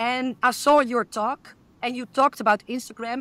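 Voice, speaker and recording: Dry and close with no echo, a woman with a Dutch accent speaks at a high pitch in a bright, sharp tone, at a moderate pace with fairly even intonation. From Netherlands. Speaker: podcast host. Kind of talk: interview.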